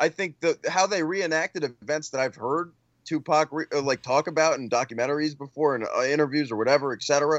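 Using a normal speaking voice, a man delivers his words with a fairly high pitch and ordinary pitch variation. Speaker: movie podcast co-host.

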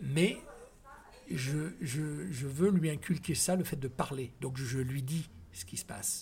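This man talks at a very slow pace with vocal fry. His pitch sits fairly high, and his intonation is lively. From Ivory Coast. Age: 50s. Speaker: former radio host and DJ. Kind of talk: interview.

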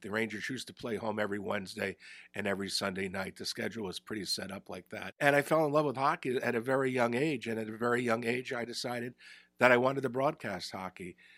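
A bright, sharp voice with a New Jersey accent at a very fast pace, big swings in loudness, and a dry, close sound with no echo. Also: man. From northern New Jersey, Bergen County. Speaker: retired hockey broadcaster. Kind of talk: casual interview. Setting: studio.

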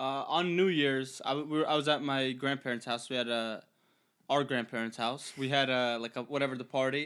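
On a very clean recording with a silent background, a man talks at a fairly quick pace with a medium pitch. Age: 20s. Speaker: podcast co-host. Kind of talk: casual chat. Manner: animated.

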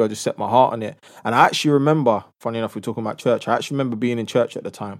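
On a very clean recording with a silent background, a man with a London accent speaks very fast at medium pitch, his intonation fairly even. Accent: London English, multicultural London. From North London. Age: 30s. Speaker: social entrepreneur and youth ambassador. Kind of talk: casual interview chat.

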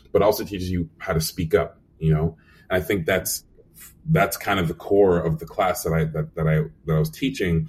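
This man has a very deep, low pitch that is somewhat breathy. His pitch variation is ordinary. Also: moderate pace. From Nigeria, Scotland, Canada. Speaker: animation supervisor.

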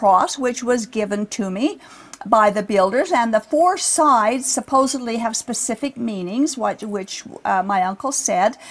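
A woman speaks at a fairly slow pace in a high voice with lively intonation. Noticeable background noise can be heard. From Utah. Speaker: religious podcast host. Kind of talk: scripted narration.

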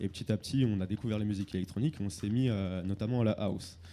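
Fairly low male speech, dark and mellow in tone, its pitch varying in an ordinary way. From Lyon suburbs, France. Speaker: music label and festival organizer. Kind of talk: panel discussion.

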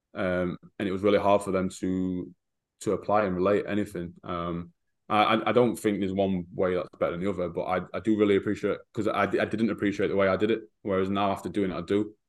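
Against a quiet background, a man with an English Midlands accent talks very fast, fairly low in pitch and flat, monotone. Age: 30s. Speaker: football strength and conditioning coach. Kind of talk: casual interview.

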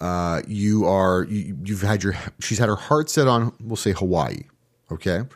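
A man with an ordinary speaking voice, fairly low in pitch, fairly slow, with lively intonation. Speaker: podcast host. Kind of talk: casual banter podcast.

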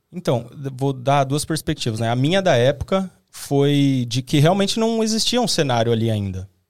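His pitch is fairly high and swings very widely. The man talks at a moderate pace. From Brazil, Osasco (São Paulo). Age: 20s. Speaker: video content creator. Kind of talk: casual chat.

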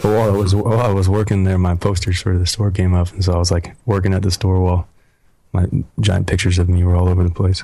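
A man's very deep, low, somewhat breathy voice with an American accent, dark and mellow in tone, very fast, flat and monotone, with very even loudness. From Oregon, US. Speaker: model and country singer. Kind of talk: casual chat.

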